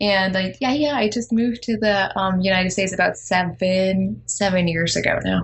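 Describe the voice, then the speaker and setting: A woman speaks with a German accent. Her pitch is medium and her intonation fairly even. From eastern Germany. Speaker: life coach and author. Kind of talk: interview. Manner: quieter than usual.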